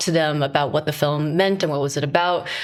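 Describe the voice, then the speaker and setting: A woman talks with a New York accent and fairly even intonation. Noticeable background noise runs under her voice. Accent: New York American English. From Flushing, Queens, New York. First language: Cantonese. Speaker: film director. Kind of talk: interview.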